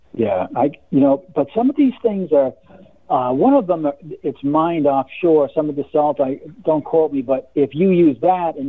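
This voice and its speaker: With ordinary pitch variation, an ordinary speaking voice holds a moderate pace. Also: man. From Massachusetts. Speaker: caller. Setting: phone call.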